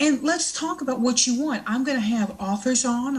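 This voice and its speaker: A woman with an American accent speaks at a moderate pace with ordinary pitch variation over noticeable background noise. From US South. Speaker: internet show host, tarot reader and fiction author. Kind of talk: casual live show monologue. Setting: live online show with chat room.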